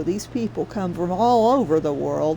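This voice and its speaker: A woman with an American accent talks at a moderate pace, her pitch swinging very widely. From US South. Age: 60s. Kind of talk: casual livestream commentary. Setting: livestream. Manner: animated.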